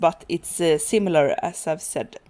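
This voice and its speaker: Speaking with a Swedish accent, a woman has a fairly low pitch and a dark, mellow tone. She keeps a moderate pace with ordinary pitch variation, on a very clean recording with a silent background. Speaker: gaming youtuber. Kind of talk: gameplay commentary. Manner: halting, many fillers.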